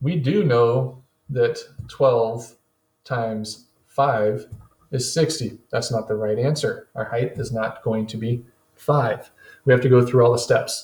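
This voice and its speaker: A man with a medium-pitched, somewhat breathy voice speaks very slowly, keeping his intonation fairly even. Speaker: teacher. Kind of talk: tutorial. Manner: instructional.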